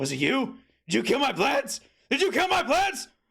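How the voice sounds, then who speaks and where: A man shouts in a put-on character voice at an extremely high pitch. His pace is moderate. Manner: screaming, accusing, dramatic.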